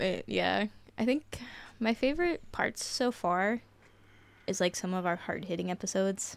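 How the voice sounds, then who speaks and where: Speaking in an American accent, a woman of medium pitch uses lively intonation and vocal fry at a moderate pace, with long, frequent pauses. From southeastern Ohio. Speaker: military service member and podcast team member. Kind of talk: casual chat.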